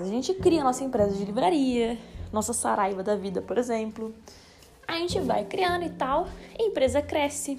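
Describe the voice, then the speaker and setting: A high-pitched woman at a moderate pace, her pitch swinging very widely, over noticeable background noise. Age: 20s. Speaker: finance educator. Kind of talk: solo explainer podcast. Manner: casual, conversational.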